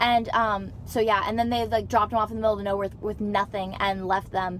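A woman speaks at a very fast pace in a flat monotone. The sound is dry with no echo, and light background noise is present. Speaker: vlogger. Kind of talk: casual vlog chat, storytelling. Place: car. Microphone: phone near.

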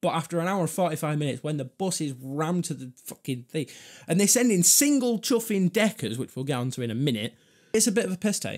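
In a Manchester accent, a high-pitched man talks at a very fast pace with an animated tone and very wide pitch swings, against a quiet background. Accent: Greater Manchester English. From northern England. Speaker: vlogger and comedian. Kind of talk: angry rant about buses, sarcastic and swearing, mock-outraged. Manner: animated, ranting, sarcastic; rambling, self-interrupting. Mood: annoyed, ranting, swearing. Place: home room. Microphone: studio mic.

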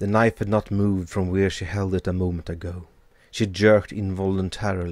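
This is straightforward reading aloud. Nothing more than text being voiced.

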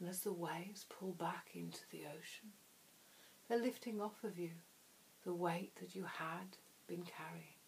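Soft-spoken, a woman talks with a fairly low pitch. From England. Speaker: hypnotherapist. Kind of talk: hypnosis trance induction. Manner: soft-spoken, slow.

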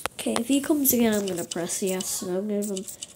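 Against noticeable background noise, a woman talks at medium pitch with ordinary pitch variation. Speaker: gaming YouTuber. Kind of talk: gameplay commentary. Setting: in bed. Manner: animated.

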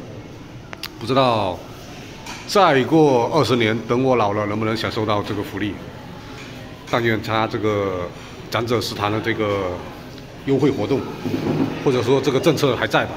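With noticeable background noise around him, a man speaks at a fairly slow pace, leaving long, frequent pauses, his pitch varying in an ordinary way. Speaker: food vlogger. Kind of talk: casual vlog chat. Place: cafe. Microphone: phone near.

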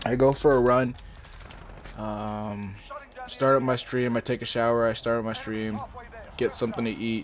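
A medium-pitched man speaks at a moderate pace with fairly even intonation and long, frequent pauses. Background noise is noticeable. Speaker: gaming YouTuber. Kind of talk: live gameplay commentary with an angry rant about YouTube. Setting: home recording while playing a game. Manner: irritated, ranting, casually profane; distracted, chatty, reacting to the game mid-sentence.

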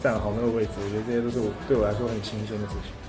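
Clear music plays behind a man as he talks. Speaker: singer and actor. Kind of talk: interview answer. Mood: relaxed, lightly amused. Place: home room.

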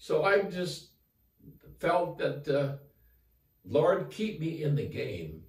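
With audible room echo over a quiet background, a man speaks at a very slow pace with vocal fry and ordinary pitch variation. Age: 80s+. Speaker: former college football player, author. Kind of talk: interview answer, inspirational message. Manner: earnest, upbeat. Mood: earnest, encouraging. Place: home room. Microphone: camera far.

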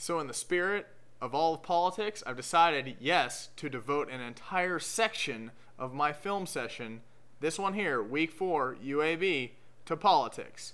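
At a fairly slow pace, a man speaks with a bright, sharp tone. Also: fairly high pitch for a man, lively intonation. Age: 20s. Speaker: sports video blogger, Ohio State fan. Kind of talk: scripted commentary monologue. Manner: sarcastic, joking. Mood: joking, sarcastic. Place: home room. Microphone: webcam.

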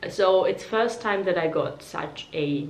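Room echo is audible as she talks. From Georgia (country). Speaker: beauty YouTuber. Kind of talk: product review vlog. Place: home room.

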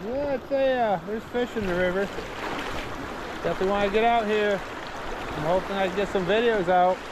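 Delivered at a fairly quick pace, the voice has a dry sound with no echo, though noticeable background noise is present. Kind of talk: casual vlog commentary. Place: waterside. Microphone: phone near.

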